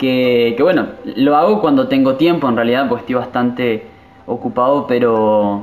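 Music plays in the background as the speaker talks at a moderate pace with fairly even intonation. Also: man. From Argentina, Misiones province. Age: 20s. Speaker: pastor. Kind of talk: interview.

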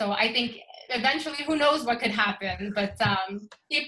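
Music plays in the background as the speaker goes at a moderate pace with ordinary pitch variation. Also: woman. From Sweden. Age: 30s. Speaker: photographer and yoga practitioner. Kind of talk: casual interview.

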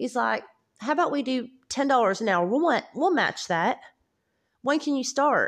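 Lively intonation at a moderate pace, with long, frequent pauses, against a quiet background. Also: woman, high pitch for a woman. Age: 30s. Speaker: podcaster. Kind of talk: casual personal monologue.

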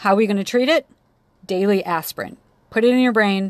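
An animated woman's voice at medium pitch, with lively intonation. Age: 30s. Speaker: physician assistant student podcaster. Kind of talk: lecture.

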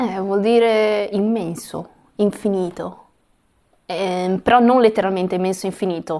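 A woman speaks at a fairly slow pace with long, frequent pauses, her medium-pitched voice dark and mellow in tone, her intonation fairly even, on a very clean recording with a silent background. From Italy (Ancona), Chinese-Italian family. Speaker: guest, mother of two. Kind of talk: casual chat. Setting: recording in Portugal near Lisbon.

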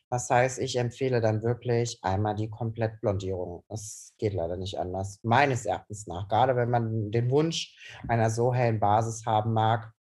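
With fairly even intonation and a somewhat breathy tone, this man talks rather slowly. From Cologne, Germany. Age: 20s. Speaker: hairdresser. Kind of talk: casual chat.

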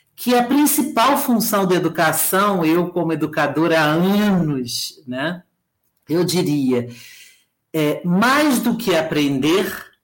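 Speaking very slowly, a woman with a fairly low pitch swings her voice very widely up and down amid audible room echo. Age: 50s. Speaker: professor of education. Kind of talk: lecture-style talk.

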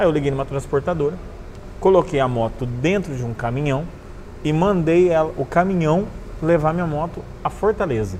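A man with a fairly high pitch and lively intonation at a fairly quick pace, with noticeable background noise. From northern Paraná, Brazil (Cornélio Procópio, near Londrina). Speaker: motorcycle traveler. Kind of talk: casual interview storytelling. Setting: motorcycle bar.

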